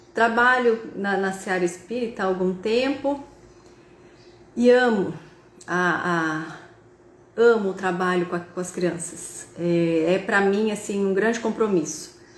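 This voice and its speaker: Very slow speech with long, frequent pauses, audible room echo and noticeable background noise. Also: woman, medium pitch for a woman, ordinary pitch variation. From interior of São Paulo state, Brazil (Tupã). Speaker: spiritist speaker and university professor. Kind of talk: spiritist talk on a live video call. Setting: video call (Zoom and Instagram live).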